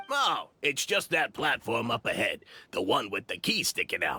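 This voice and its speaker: A man performs a put-on character voice at a moderate pace. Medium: video game. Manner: self-assured, a bit vain.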